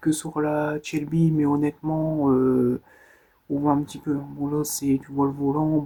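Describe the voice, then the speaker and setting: This man speaks softly in a fairly high voice with a dark, mellow tone. His intonation stays monotone and flat. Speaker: ASMR creator. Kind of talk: ASMR show-and-tell of collection. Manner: soft-spoken.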